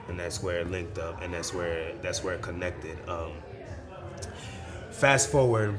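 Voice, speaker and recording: Spoken at a moderate pace with ordinary pitch variation and long, frequent pauses, the voice carries audible room echo while music plays in the background. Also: man, very deep, low pitch for a man. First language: Spanish. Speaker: musician and arts event founder. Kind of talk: interview. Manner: casual, slangy.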